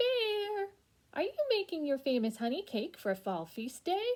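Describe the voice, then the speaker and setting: Doing a put-on character voice, a woman squeaks out an extremely high pitch with very wide pitch swings and a warm tone at a fairly slow pace. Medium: read story. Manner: warm, friendly.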